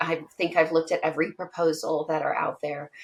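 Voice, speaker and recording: Noticeable background noise around a fairly low female voice. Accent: American. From US Northwest (Eastern Washington). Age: 60s. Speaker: policy expert. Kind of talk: interview. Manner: halting.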